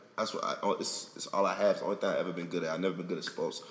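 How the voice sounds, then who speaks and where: A man with an American accent talks very fast as noticeable background noise runs underneath. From South Florida. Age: 20s. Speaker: rapper. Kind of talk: casual interview.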